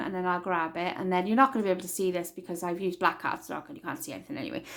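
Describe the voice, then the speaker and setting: A woman speaks with a Welsh accent. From Wales. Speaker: crafting tutorial maker. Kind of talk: tutorial.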